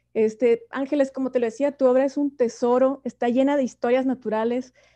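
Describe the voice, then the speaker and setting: A woman's high-pitched voice at a moderate pace, fairly even in intonation, against a quiet background. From Mexico, Chihuahua. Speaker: interviewer. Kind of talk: literary conversation at a book fair.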